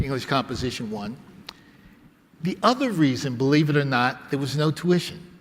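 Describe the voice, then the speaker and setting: With a New York accent, a man talks at a moderate pace. His fairly high pitch shows ordinary variation. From New York City. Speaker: academic speaker. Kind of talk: conference talk.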